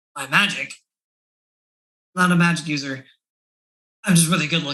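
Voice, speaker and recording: Here is a put-on character voice with a raspy sound. It moves at a moderate pace on a middle pitch. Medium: actual play. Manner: smug, falsely friendly.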